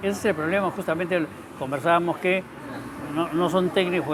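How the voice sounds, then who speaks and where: Music plays in the background as the speaker moves at a fairly quick pace. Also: man. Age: 70s. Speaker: talk show host. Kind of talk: casual chat.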